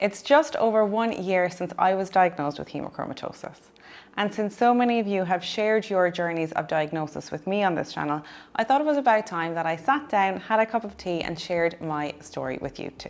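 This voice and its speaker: A woman speaks with an Irish accent at a medium pitch. Her intonation is lively and her pace fairly quick. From Ireland. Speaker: dietitian. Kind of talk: personal story vlog.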